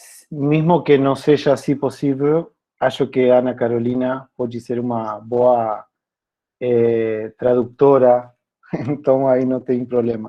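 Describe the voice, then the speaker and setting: At a very slow pace, a man talks with medium pitch and monotone, flat intonation. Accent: Spanish. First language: Spanish (speaking Portuguese). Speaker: philosophy teacher. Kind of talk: workshop presentation.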